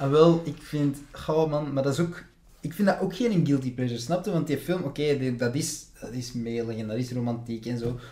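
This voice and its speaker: A man with a normal speaking voice talks at a moderate pace, his fairly high pitch showing ordinary pitch variation. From Flanders, near Antwerp. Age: 20s. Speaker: actor and film student. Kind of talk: casual chat.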